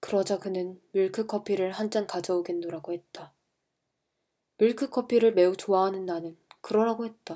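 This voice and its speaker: A woman's strained voice with a dark, mellow tone, medium pitch, a moderate pace and fairly even intonation. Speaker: amateur audiobook reader. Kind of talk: novel reading for sleep. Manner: flat, restrained, textbook-like.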